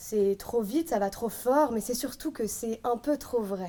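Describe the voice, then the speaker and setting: At a very slow pace, a woman speaks with a fairly high pitch, ordinary pitch variation and a dark, mellow tone. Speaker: eloquence contest candidate. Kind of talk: competition speech. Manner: loud.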